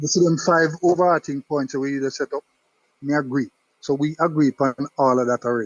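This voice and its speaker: With a Jamaican accent, a man speaks fairly quickly in a fairly high voice, his intonation fairly even. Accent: Jamaican English with patois features. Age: 60s. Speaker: caller to sports talk show. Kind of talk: call-in debate.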